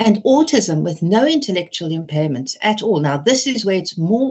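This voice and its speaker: A somewhat breathy woman speaks with very wide pitch swings. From Britain. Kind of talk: webinar lecture.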